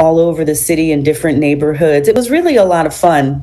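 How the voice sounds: A woman's low, dark, mellow voice, raspy and croaky, with lively intonation, a fast pace and audible room echo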